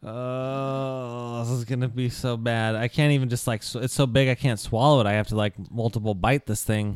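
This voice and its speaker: Amid noticeable background noise, a man speaks at medium pitch and a moderate pace with monotone, flat intonation and hardly any pauses. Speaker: role-playing game player. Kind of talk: casual tabletop role-playing game banter.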